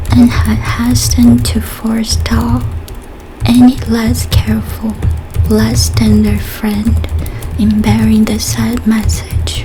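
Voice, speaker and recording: Soft-spoken and very slow, a woman uses a very deep, low pitch and lively intonation while music plays in the background. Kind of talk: short story reading.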